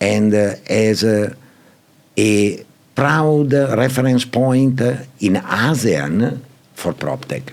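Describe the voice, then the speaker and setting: A man with an Italian accent speaks at a very slow pace with long, frequent pauses. His medium pitch carries lively intonation at very even loudness, over noticeable background noise. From Italy. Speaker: property and PropTech executive. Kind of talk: podcast interview answer.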